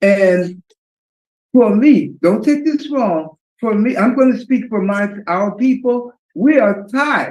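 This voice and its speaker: At a fairly slow pace, a man talks with lively intonation at an extremely high pitch. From New York City. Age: 60s. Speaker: audience member. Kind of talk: public forum comment.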